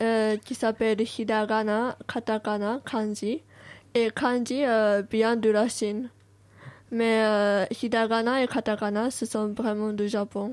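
A woman with a Japanese accent talks at a very slow pace in a monotone, flat intonation. The recording is very clean, with a silent background. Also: fairly high pitch for a woman. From Japan, Tokyo. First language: Japanese (speaking French). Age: 20s. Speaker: exchange student. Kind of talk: radio interview.

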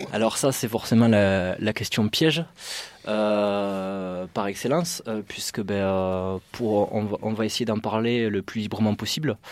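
A man speaks at a very slow pace with fairly low pitch and ordinary pitch variation. The recording is very clean, with a silent background. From southern France, Carcassonne. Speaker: police officer. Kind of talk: interview.

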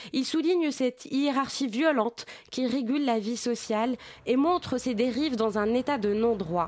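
A woman talks at a fairly slow pace, her high pitch moving with ordinary variation. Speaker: film columnist. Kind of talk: scripted narration. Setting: studio.

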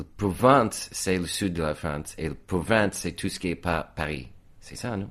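Very deep and low, a man's voice carries lively intonation at a fairly slow pace. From US, Virginia, Reston. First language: English (speaking French). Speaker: painter. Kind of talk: casual chat.

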